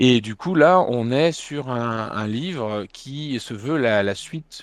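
Very slowly, a man speaks at a medium pitch. His pitch shows ordinary variation. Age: 40s. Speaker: manga publisher and festival founder. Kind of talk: interview.

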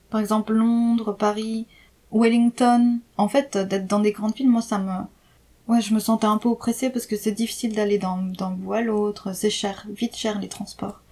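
A woman speaks with a dark, mellow, somewhat breathy tone. Her intonation is monotone and flat, and her pace is moderate. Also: fairly high pitch for a woman. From France, Jura. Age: 30s. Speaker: expatriate interviewee. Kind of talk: casual interview. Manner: hesitant, many fillers.

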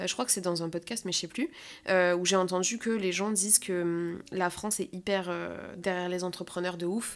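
Her voice a plain, everyday voice, a woman speaks at medium pitch and a moderate pace with fairly even intonation. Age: 20s. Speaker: podcast host. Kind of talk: casual chat.

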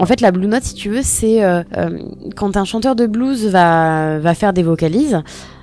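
A woman of medium pitch speaks slowly, fairly so, in a dark, mellow tone with lively intonation. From Normandy, France. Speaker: singer and former radio intern. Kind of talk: interview. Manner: halting.

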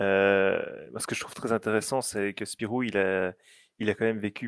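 Recorded very clean with a silent background and a dry, close sound with no echo, a man with a plain, everyday voice speaks at a fairly low pitch and moderate pace with fairly even intonation. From Belgium. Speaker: app director for fan site. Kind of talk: casual chat.

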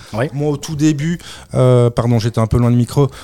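Heard dry and close with no echo, a man speaks with a dark, mellow tone, a medium pitch and ordinary pitch variation. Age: 30s. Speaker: drinks brand founder. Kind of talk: interview. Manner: hesitant, many fillers.

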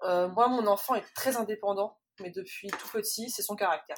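Fairly slow pace with fairly even intonation. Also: woman. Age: 30s. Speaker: illustrator and mother. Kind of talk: testimony. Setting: remote recording. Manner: halting, many fillers and repetitions.

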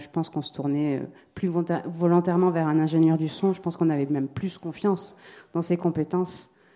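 A woman's very deep, low voice carries a dark, mellow tone and a monotone, flat intonation. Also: very clean recording, silent background. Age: 40s. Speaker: musician and sound creator. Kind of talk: round table discussion.

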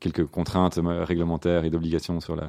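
At a very fast pace, a man talks in a very deep, low voice. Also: quiet background. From Belgium, Brussels. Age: 30s. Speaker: entrepreneur. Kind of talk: interview.

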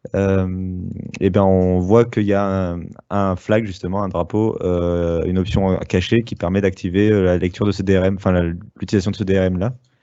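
In a very deep, low pitch, a man speaks at a fairly slow pace with monotone, flat intonation. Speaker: tech podcast co-host. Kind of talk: casual chat.

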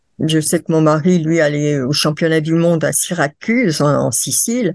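A woman's very deep, low voice at a fairly slow pace over a quiet background. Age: 70s. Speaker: international roller racing judge. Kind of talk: interview. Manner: hesitant with frequent fillers.

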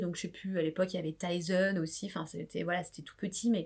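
A woman is speaking. She has an unremarkable speaking voice. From France, suburban housing estate, family from Réunion. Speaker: startup founder and startup advisor. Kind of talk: interview.

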